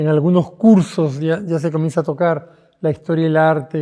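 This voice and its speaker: Fairly even in intonation, a man speaks at a fairly slow pace. His tone is dark and mellow. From Peru. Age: 70s. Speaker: painter. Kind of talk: interview monologue. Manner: halting with frequent repetitions.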